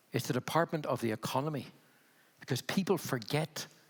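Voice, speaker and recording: This man has a Belfast accent and a fairly high pitch. His intonation is lively and his pace moderate. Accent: Belfast accent, retained. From Northern Ireland, Belfast. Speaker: health funding consultant, panelist. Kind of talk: panel discussion. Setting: conference stage with audience.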